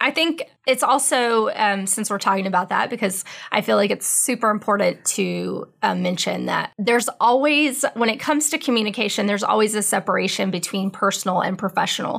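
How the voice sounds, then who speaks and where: With vocal fry and a fairly high pitch, a woman is heard on a very clean recording with a silent background. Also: ordinary pitch variation, fairly quick pace, hardly any pauses. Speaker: radio host. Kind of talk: casual chat. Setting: radio studio. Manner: soft-spoken.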